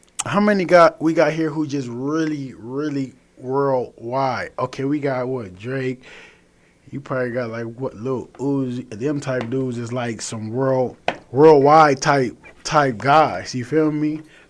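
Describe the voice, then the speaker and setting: There is noticeable background noise as a man with an American accent talks at a fairly slow pace. His voice sits at a medium pitch with ordinary pitch variation. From Los Angeles, South Central. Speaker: rapper. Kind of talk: radio interview. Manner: casual.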